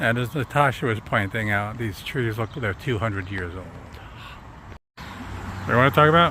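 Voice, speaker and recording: A man speaks in a Long Island accent at a moderate pace. His pitch is medium, with ordinary variation. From Long Island, New York. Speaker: vlogger, tour guide. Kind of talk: casual walking tour commentary. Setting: outdoors walking.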